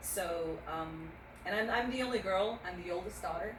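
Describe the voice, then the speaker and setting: A fairly quick pace and ordinary pitch variation, with audible room echo and noticeable background noise. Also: woman. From Navajo Nation, US Southwest. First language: Navajo. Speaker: veteran advocate, motorcycle ride volunteer. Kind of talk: casual interview chat. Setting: outdoors at a memorial.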